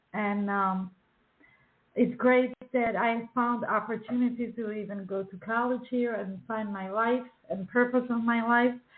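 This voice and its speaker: A woman's fairly high voice with a Czech accent, at a fairly slow pace, in a monotone, flat intonation. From Czechoslovakia. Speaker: children's book author and illustrator. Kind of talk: radio interview. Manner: halting, many fillers.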